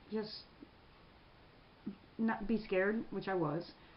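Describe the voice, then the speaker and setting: A woman with a Mid-Atlantic American accent talks at a moderate pace and a medium pitch. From Prince George's County, Maryland. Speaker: military veteran. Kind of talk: interview answer.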